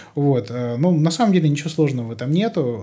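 Over a silent background in a very clean recording, a man's voice carries a dark, mellow tone at a fairly high pitch. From rural Russia. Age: 30s. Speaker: soundproofing expert. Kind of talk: casual interview.

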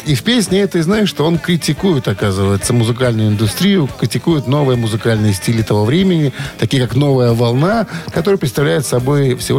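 A man's pitch swings very widely as noticeable background noise carries on. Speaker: radio host. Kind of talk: casual chat. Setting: studio.

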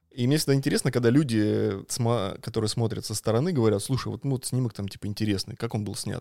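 Very fast speech in a dark, mellow tone with fairly even intonation comes through on a very clean recording with a silent background. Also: man. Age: 30s. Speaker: street photographer. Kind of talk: casual chat. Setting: live stream recorded at the host's home.

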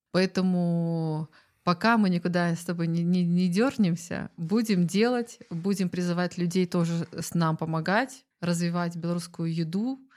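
A woman with an unremarkable speaking voice at a fairly slow pace, with ordinary pitch variation. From Belarus, Zhodzina. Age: 30s. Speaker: food community organizer. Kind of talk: casual chat.

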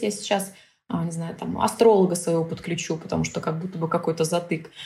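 Using vocal fry, a woman talks at a fairly quick pace. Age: 30s. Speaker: business psychologist and mentor. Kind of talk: casual interview chat.

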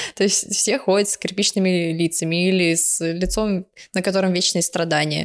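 A woman talks at a fairly slow pace. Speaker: anime podcast co-host. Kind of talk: casual chat. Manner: animated.

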